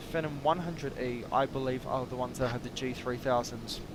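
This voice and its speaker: A man speaks fairly quickly, his intonation fairly even, while noticeable background noise carries on. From India. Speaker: flight sim streamer. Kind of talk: live stream gameplay commentary. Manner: casual, chatty.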